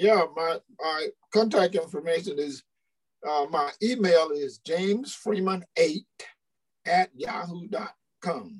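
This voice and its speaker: Very slow and pausing long and often, a man with an American accent speaks at a high pitch with ordinary pitch variation. The sound is dry and close, with no echo. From rural US South. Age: 70s. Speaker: retired school principal and university administrator. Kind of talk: interview, personal storytelling. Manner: halting, repeats words.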